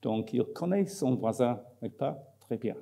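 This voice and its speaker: Very slow speech comes from a man. He has an English accent. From Scotland. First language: English (speaking French). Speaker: marketing professor. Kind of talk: conference talk. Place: hall. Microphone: podium.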